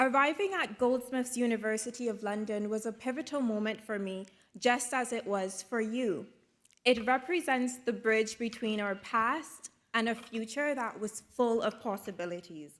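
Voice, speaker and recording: In a Caribbean accent, a woman talks at a moderate pace and a fairly high pitch with ordinary pitch variation. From Dominica, Caribbean. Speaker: graduate student speaker and journalist. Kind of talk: graduation speech. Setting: stage with audience at graduation ceremony. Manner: formal.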